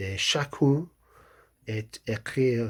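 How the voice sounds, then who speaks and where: A man with a strong English accent speaks at a very slow pace with lively intonation and a somewhat breathy sound. The recording is very clean, with a silent background. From England. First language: English (speaking French). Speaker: novelist. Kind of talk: author presenting his book. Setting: video recording, wearing a hat. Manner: halting, many hesitations and repetitions.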